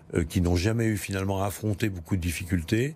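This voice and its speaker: A somewhat breathy man, very deep and low in pitch with a dark, mellow tone, in a very clean recording with a silent background. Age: 70s. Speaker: mayor and politician. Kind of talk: political interview. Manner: halting, with frequent hesitations.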